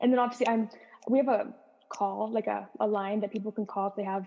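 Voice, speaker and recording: A woman speaks with fairly even intonation. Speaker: cybersecurity analyst. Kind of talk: casual chat. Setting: podcast interview. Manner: fast.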